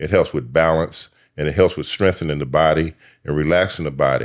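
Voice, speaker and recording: Vocal fry runs through the voice, delivered at a fairly quick pace with fairly even intonation. The recording is very clean, with a silent background. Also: man. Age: 70s. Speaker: yoga and mind-body teacher, former social worker. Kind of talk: podcast interview. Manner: halting, many fillers.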